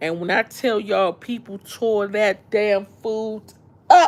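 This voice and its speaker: The speaker is a woman. She talks with a DC accent. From Washington DC. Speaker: live streamer. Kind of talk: casual chat. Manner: animated.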